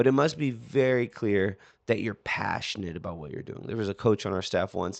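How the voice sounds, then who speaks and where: Against a quiet background, a man talks in an animated tone with lively intonation. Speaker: swim coach. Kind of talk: solo podcast talk.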